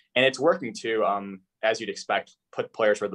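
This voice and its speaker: In a quiet background, a man speaks with an American accent. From US Midwest, Chicago suburbs. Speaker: sports analytics writer. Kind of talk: interview. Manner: fast.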